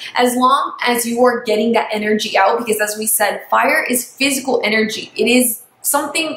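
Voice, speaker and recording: A woman with a fairly high pitch at a fairly quick pace, over noticeable background noise. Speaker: astrology youtuber. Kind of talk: casual vlog tutorial. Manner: animated; fast.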